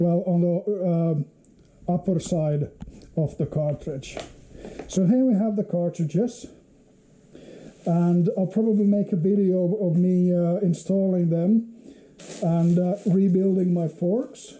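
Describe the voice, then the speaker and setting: A man with a Finnish accent speaks at a high pitch and a very slow pace. Long pauses come often, and his loudness stays very even. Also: ordinary pitch variation. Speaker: motorcycle hobbyist vlogger. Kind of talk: unboxing video. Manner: halting, many fillers.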